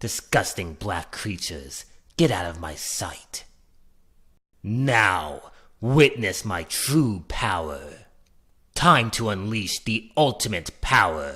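A man's raspy, put-on character voice, fairly low in pitch, with a menacing tone, a very slow pace and long, frequent pauses. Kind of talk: video game character voice demo. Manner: cold, arrogant, menacing.

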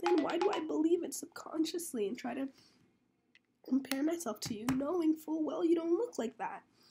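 Intonation is lively and the pace moderate. Music plays in the background. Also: woman, extremely high pitch for a woman. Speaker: vlogger. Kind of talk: casual vlog talk. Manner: hesitant, many fillers.

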